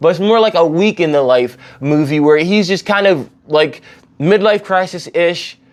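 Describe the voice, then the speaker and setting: Very even loudness from a man with a high pitch. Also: ordinary pitch variation, moderate pace. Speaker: film reviewer. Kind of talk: casual monologue review. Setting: indoors at home. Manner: rambling with many fillers.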